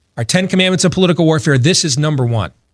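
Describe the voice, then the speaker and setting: A man with an American accent speaks at a fairly high pitch with lively intonation. Vocal fry runs through his voice. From Michigan. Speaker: talk show host. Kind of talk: radio talk show.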